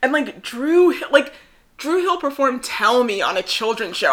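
A raised, projected voice with an American accent carries lively intonation. The pace is fairly slow. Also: woman. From New Jersey. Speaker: podcast co-host. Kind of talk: casual chat.

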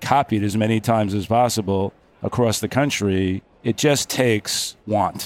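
A man talks in a normal speaking voice, fairly low in pitch, with fairly even intonation. The recording is very clean, with a silent background. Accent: American. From Long Island, New York. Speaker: orthopedic surgeon. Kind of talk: interview. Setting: live at a conference.

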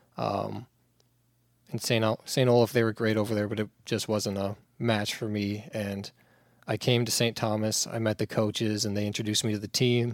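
In a very clean recording with a silent background and a dry, close sound with no echo, a man with an ordinary speaking voice talks fairly quickly at a fairly low pitch. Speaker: college sprinter. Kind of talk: casual chat.

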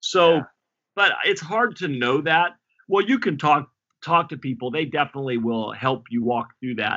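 This man uses a normal speaking voice, fairly high in pitch, with lively intonation at a moderate pace. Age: 40s. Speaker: pastor. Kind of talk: interview.

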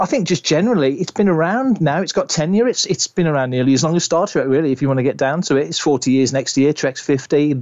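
A man talks very fast in a British accent, with hardly any pauses. His pitch is fairly high and his loudness stays very even. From UK. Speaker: Star Wars podcaster, co-host. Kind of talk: casual chat. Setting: remote audio call from home.

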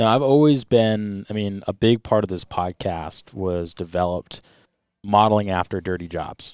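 Recorded very cleanly against a silent background, a man speaks in an ordinary speaking voice at a fairly low pitch and moderate pace, with ordinary pitch variation. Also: dry, close sound with no echo. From US Northeast, Rhode Island. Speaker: podcast host, boat captain. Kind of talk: casual interview chat.

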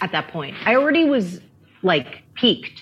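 Lively intonation carries a woman's ordinary speaking voice at a moderate pace. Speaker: author. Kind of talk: casual chat.

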